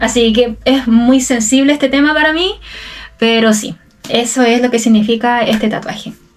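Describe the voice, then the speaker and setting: Over noticeable background noise, a woman with a Chilean accent speaks in a high pitch, with fairly even intonation and very even loudness. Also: moderate pace. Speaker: Spanish teacher. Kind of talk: casual talk to camera. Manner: casual, unscripted.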